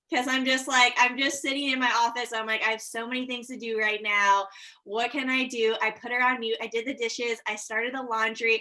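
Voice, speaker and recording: Bright and sharp in tone, a woman speaks at a fairly quick pace with hardly any pauses, her high pitch held in a monotone, flat intonation. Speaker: real estate agent. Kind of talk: casual chat. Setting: video call. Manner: fast.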